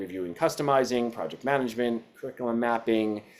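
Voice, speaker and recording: At a fairly quick pace, a man talks in a medium pitch. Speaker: educational publisher representative. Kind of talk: webinar presentation. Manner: fast; many fillers and restarts.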